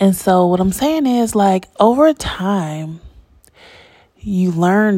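This woman's voice is fairly low in pitch, with a dark, mellow tone and ordinary pitch variation. She sounds calm and talks at a fairly slow pace. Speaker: podcast host. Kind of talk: solo casual monologue. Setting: home recording late at night. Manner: calm, varied intonation.

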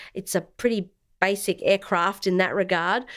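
This very clean recording with a silent background features a woman with an Australian accent at a medium pitch. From South Australia. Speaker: former air force intelligence officer, veterans' organisation director. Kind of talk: interview. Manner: formal.

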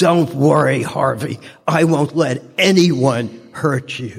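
A man puts on a character voice in a Chicago accent. He speaks at a very slow pace with a fairly high pitch. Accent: tough Chicago. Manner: protective, tough.

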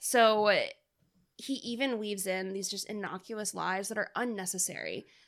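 At a moderate pace, a woman talks in an unremarkable speaking voice of medium pitch with fairly even intonation. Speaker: podcast co-host. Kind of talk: casual chat.

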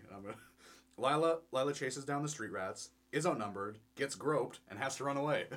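A man with a fairly high pitch, talking at a fairly quick pace, with big swings in loudness and ordinary pitch variation. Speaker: podcast co-host. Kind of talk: casual chat. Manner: rambling, hesitant, laughs often.

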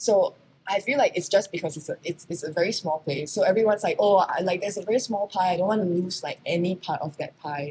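A woman with an American accent speaks at a medium pitch and a very fast pace. Her voice is somewhat breathy and dark, mellow in tone, with ordinary pitch variation. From Singapore. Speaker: fashion model. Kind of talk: casual interview chat.

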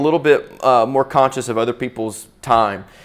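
With a Southern US accent, a man speaks at a moderate pace. His pitch is medium, with ordinary pitch variation. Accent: US South. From Florida, Pensacola. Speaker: pastor. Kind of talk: talk to church audience. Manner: halting, many repeated words.

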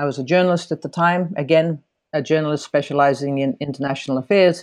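There is a quiet background behind a woman whose voice has a very deep, low pitch. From Finland, partly raised in the United States. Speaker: China policy analyst. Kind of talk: interview.

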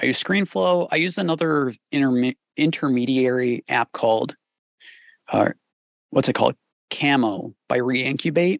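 Speaking at a fairly slow pace with long, frequent pauses, a man keeps a medium pitch, ordinary pitch variation and very even loudness, the sound dry and close with no echo. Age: 30s. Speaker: mix engineer and YouTube creator. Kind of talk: casual interview conversation.

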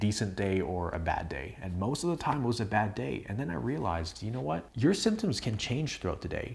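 A man with an unremarkable speaking voice, fairly low pitch and a fairly quick pace, on a very clean recording with a silent background. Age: 20s. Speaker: health coach and video creator. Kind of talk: direct-to-camera talk video. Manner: casual, conversational.

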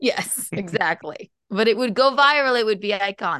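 This woman has a bright, sharp tone and talks at a moderate pace. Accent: American. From South Carolina. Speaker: comedian and podcaster. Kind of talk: casual chat.

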